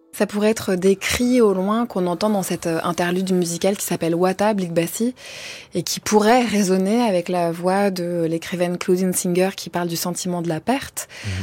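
With an unremarkable speaking voice, a woman keeps a medium pitch, a moderate pace and fairly even intonation. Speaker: radio host. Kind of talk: radio interview. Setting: studio. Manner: formal.

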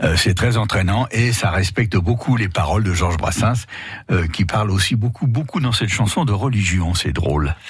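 Amid noticeable background noise, a man speaks at a fairly low pitch and moderate pace, with ordinary pitch variation and very even loudness. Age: 70s. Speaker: singer. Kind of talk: radio interview. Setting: studio.

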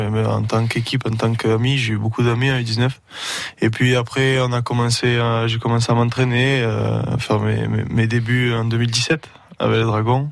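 With a medium pitch and a moderate pace, a man speaks in a flat monotone at very even loudness. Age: young. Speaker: rugby league player. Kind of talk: radio interview. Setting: radio studio.

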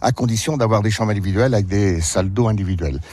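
The man's pitch is fairly low. His pitch varies in an ordinary way. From France, Berry (Indre). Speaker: village mayor, retired farmer. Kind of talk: radio interview on a walking tour. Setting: outdoors, walking through the village. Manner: hesitant, many fillers.

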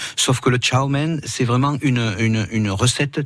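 A man's medium-pitched voice, with ordinary pitch variation, moves at a moderate pace through noticeable background noise. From southern France (Roussillon). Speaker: restaurant owner, chef. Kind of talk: radio interview.

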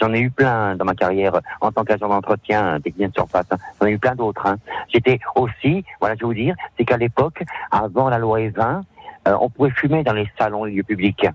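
There is music in the background. A man speaks over it at a medium pitch. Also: ordinary pitch variation, moderate pace. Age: 50s. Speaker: cleaner. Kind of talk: radio interview. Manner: halting.

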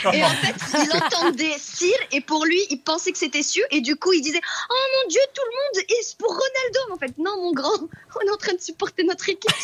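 An extremely high female voice with very wide pitch swings at a moderate pace, dry and close with no echo, over noticeable background noise. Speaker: caller. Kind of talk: casual chat.

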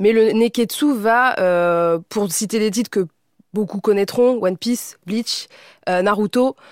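Speaking at a very slow pace, a woman with a fairly high pitch and ordinary pitch variation comes through a dry, close sound with no echo on a very clean recording with a silent background. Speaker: content creator. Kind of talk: casual panel discussion.

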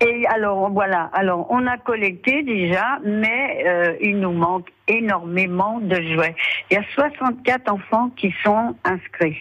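A woman's medium-pitched voice at a very slow pace, with lively intonation and very even loudness, against noticeable background noise. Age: 80s+. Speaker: charity founder. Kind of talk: radio interview.

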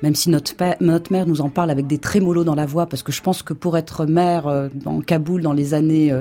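Noticeable background noise runs throughout. The talking keeps a fairly quick pace. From Morocco, Casablanca. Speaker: art historian and writer. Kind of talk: radio interview.

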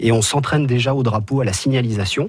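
A man speaks at a fairly quick pace in a somewhat breathy voice. His pitch is medium, with ordinary variation. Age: 30s. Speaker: motorsport track marshal. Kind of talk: radio interview. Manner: hesitant, with fillers and repetitions.

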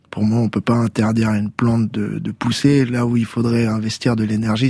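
Over noticeable background noise, the speaker talks at a moderate pace with a monotone, flat intonation. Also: man. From Tours, France. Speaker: reggae musician. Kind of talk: radio interview. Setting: radio studio.

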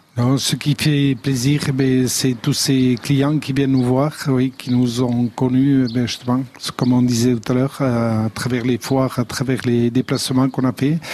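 A man speaks at a fairly slow pace with hardly any pauses, in a monotone, flat intonation at very even loudness, with noticeable background noise. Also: medium pitch for a man. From French Basque Country, Aldudes valley. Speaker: pig farmer and charcuterie business owner. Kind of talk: radio interview. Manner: halting.

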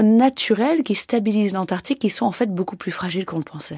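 A woman speaks at a fairly quick pace, her fairly high, somewhat breathy voice making very wide pitch swings. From French Alps, near Annecy. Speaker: glaciologist. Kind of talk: radio interview.

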